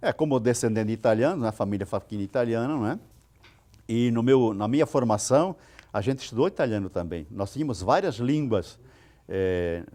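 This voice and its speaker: Against a quiet background, a man with a medium pitch and a dark, mellow tone speaks at a moderate pace with lively intonation. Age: 70s. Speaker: retired teacher. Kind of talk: TV interview.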